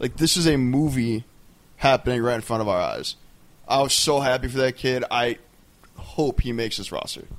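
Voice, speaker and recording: Against noticeable background noise, a man with a medium pitch speaks with long, frequent pauses. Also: moderate pace. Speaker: sports podcast co-host. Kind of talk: casual chat. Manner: not very enthusiastic delivery. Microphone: new pop filter after poor mic quality.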